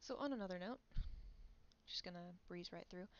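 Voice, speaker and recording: A woman speaks quietly. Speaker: streamer and artist. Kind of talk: casual chat. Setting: home livestream. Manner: animated.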